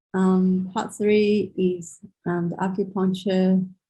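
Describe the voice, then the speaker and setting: Her voice dark, mellow and somewhat breathy, a woman speaks at a very slow pace with a medium pitch and fairly even intonation. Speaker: traditional Chinese medicine practitioner. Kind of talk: lecture. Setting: video call.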